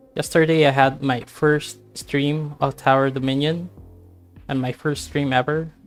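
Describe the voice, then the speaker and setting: The speaker talks at a fairly slow pace while music plays in the background. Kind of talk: casual gaming commentary. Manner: calm, clear diction.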